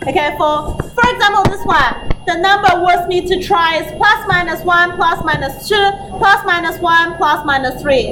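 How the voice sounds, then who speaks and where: Over noticeable background noise and audible room echo, a woman uses a raised, projected voice at an extremely high pitch and a fairly slow pace. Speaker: maths teacher. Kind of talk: lecture.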